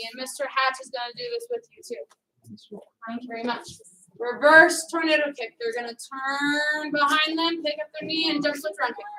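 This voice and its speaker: A woman's high-pitched voice is raised and projected. Her intonation is lively, and her loudness swings widely. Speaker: karate instructor. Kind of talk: fitness class instruction. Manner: fast; commanding.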